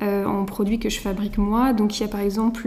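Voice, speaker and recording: There is noticeable background noise and audible room echo. A woman talks at a fairly quick pace in a medium pitch. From France, Mayenne. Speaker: soap maker. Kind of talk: casual chat. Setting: at the guest's home.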